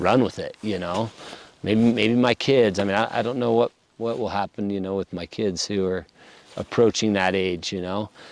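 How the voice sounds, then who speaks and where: In an American accent, the speaker goes at a moderate pace with an unremarkable speaking voice and a dry, close sound with no echo. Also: man, fairly low pitch for a man. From Idaho. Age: 40s. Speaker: locksmith, business owner. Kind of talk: podcast interview.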